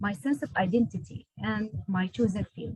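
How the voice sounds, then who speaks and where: In a dry, close sound with no echo, a woman speaks at a moderate pace in a fairly high voice with vocal fry and lively intonation. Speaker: nurse and PhD student. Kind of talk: prepared speech. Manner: halting.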